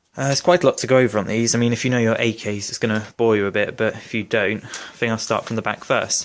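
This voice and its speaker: With a British accent, a man in a medium pitch talks at a very fast pace with fairly even intonation and hardly any pauses. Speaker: airsoft gun reviewer. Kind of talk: product review tutorial.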